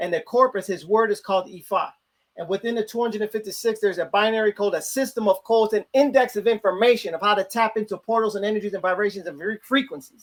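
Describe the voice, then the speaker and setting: At a very fast pace, a man with a high pitch speaks with an American accent. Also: fairly even intonation. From US Midwest, Chicago. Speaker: religious priest. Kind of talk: interview, religious explanation.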